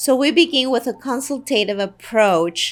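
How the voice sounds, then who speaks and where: With music playing in the background, a woman speaks at a moderate pace with lively intonation. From Guatemala. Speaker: real estate agent. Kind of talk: promotional talk to camera.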